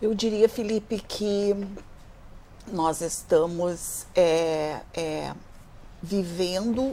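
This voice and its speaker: A woman speaks with a dark, mellow tone. Her pitch is medium, with ordinary variation. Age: 60s. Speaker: social worker in gerontology. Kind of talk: televised panel discussion.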